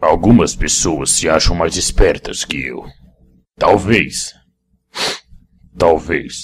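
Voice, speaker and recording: A man's put-on character voice, very deep and low in pitch with a menacing tone, at a very slow pace with long, frequent pauses. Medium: dub. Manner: menacing, boastful.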